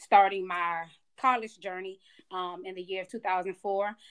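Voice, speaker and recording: At a fairly quick pace, a woman with an American accent talks at a medium pitch in a monotone, flat way. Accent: Georgia twang, Maryland accent gone. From Maryland. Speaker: career changer, student becoming educator. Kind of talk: casual interview chat.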